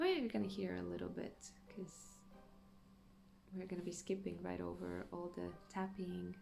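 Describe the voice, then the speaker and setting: A woman speaks at a fairly slow pace with long, frequent pauses, amid audible room echo and noticeable background noise. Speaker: gaming youtuber. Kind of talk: gameplay commentary. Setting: home at night. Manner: quiet, hushed.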